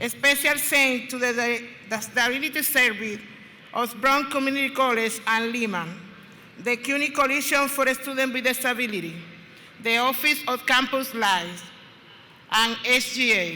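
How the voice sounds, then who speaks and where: With a Spanish accent, the speaker goes at a moderate pace with ordinary pitch variation, with audible room echo and noticeable background noise. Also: woman, high pitch for a woman. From Dominican Republic. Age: 50s. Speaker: student speaker. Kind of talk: ceremonial speech. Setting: stage with audience. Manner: formal.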